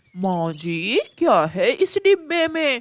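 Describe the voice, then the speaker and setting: A cartoonish character voice pitched high. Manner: wheedling, fake politeness.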